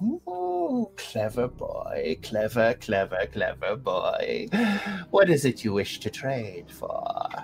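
A put-on character voice speaks at a very slow pace. Clear background noise can be heard. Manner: sly, wheedling.

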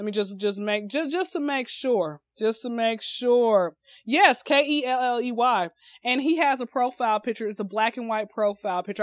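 A normal speaking voice from a woman with an American accent, fairly high in pitch, with ordinary pitch variation and a dry, close sound with no echo. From Atlanta, US South. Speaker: comedian. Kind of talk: casual chat.

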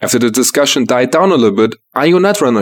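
Talking at a very fast pace, a man with a German accent uses very wide pitch swings around a medium pitch. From Germany. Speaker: community news reader. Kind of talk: scripted news segment.

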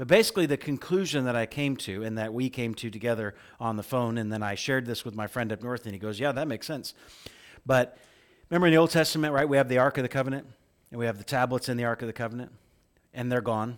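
Very fast speech comes from a man with an American accent and a medium-pitched voice. The recording is very clean, with a silent background. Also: ordinary pitch variation. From central Illinois, US Midwest. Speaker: pastor. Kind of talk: sermon.

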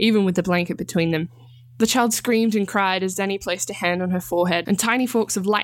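This clip is a natural reading voice.

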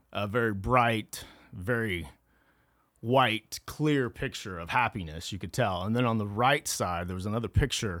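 A man with an American accent speaks at a moderate pace in a plain, everyday voice, fairly low in pitch with ordinary pitch variation, on a very clean recording with a silent background. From rural Kansas, Flint Hills. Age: 40s. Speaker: recovered addict telling his story. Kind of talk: testimony.

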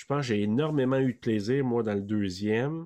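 Against a quiet background, a man with an ordinary speaking voice talks at a fairly quick pace, medium in pitch with ordinary pitch variation. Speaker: podcast co-host guest. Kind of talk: casual chat.

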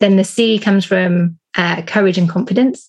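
A somewhat breathy voice with a British accent. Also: woman. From UK. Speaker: business coach. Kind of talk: interview. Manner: calm.

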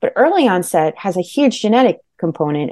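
Lively intonation runs through a woman's dark, mellow tone. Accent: New Jersey. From New Jersey, Monmouth County. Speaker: author. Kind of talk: interview.

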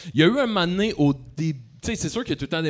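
A man with a Quebec accent talks at a very fast pace with lively intonation. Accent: Québécois French. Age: 30s. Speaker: comedian. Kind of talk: live podcast interview. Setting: stage with audience.

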